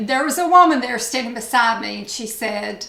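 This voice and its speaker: An East Tennessee accent comes through at a moderate pace. Noticeable background noise and audible room echo surround it. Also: woman. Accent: Southern US (East Tennessee). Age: 60s. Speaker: beauty vlogger. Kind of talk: casual chat.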